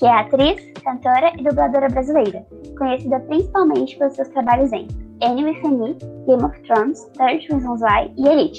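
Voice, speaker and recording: With music in the background, the voice holds a moderate pace and ordinary pitch variation. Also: woman, high pitch for a woman. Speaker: podcast host. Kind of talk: podcast introduction.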